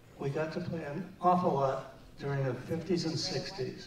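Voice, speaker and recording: A man talks with a fairly high pitch. Audible room echo and light background noise surround him. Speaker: presenter accepting honor for friend. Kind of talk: tribute speech. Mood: warm, reminiscing. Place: hall.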